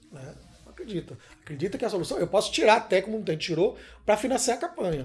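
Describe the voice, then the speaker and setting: Here a man talks at a very fast pace with a high pitch. His pitch swings very widely and his loudness rises and falls a lot. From Salvador, Bahia (Brazil); Bahia, Brazil. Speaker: filmmaker; interviewee. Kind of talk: interview. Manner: hesitant, many fillers. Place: home room.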